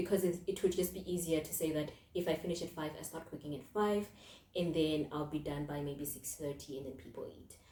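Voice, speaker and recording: Over noticeable background noise, a woman talks at a fairly quick pace with a fairly low pitch and fairly even intonation. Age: 20s. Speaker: podcast host and mental health counselor. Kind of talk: casual monologue podcast. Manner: conversational, with fillers.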